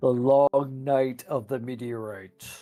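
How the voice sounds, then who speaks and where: At a fairly slow pace, a man does a put-on character voice at medium pitch. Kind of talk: broadcast announcer. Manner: dramatic.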